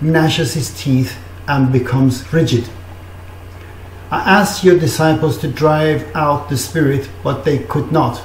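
A man at a fairly slow pace with long, frequent pauses, audible room echo and light background noise. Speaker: preacher. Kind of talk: scripture reading. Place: home room. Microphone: webcam.

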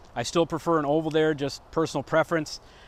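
A man's voice with a dry sound and no echo. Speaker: arborist instructor. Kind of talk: tutorial. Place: garden. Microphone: lapel.

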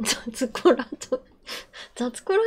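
There is light background noise. A woman speaks with ordinary pitch variation. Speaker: digital artist and streamer. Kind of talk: casual livestream talk while drawing.

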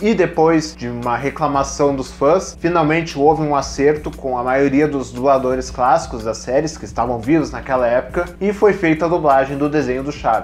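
Over light background noise, a man speaks at a moderate pace. He leaves hardly any pauses. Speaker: video host. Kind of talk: informative commentary on dubbing history. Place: home room. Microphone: lapel.

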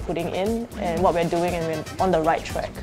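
Over clear music in the background, a woman talks at a fairly quick pace in a fairly low pitch. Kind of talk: interview answer. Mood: warm, proud. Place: bar.

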